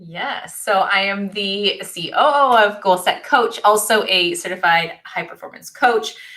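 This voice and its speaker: Talking at a fairly slow pace with hardly any pauses, a woman uses a bright, sharp tone at a medium pitch, with ordinary pitch variation and big swings in loudness. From Canada, Ontario. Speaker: coach and college professor. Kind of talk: online workshop presentation.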